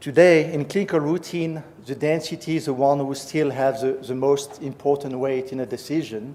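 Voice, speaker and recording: A man with a French-Swiss accent at a fairly high pitch, ordinary pitch variation and noticeable background noise. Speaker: professor. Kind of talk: lecture.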